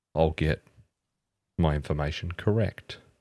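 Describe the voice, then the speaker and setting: With an Australian accent and an enthusiastic tone, a man speaks at a fairly slow pace in a very clean recording with a silent background and dry, close sound with no echo. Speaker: gaming youtuber and photographer. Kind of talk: game demo commentary. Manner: casual, enthusiastic.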